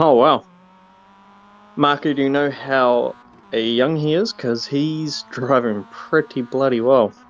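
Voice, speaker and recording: A man with a New Zealand accent, fairly high in pitch, very slow, with long, frequent pauses and ordinary pitch variation. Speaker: sim racing commentator. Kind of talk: live commentary. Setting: live stream.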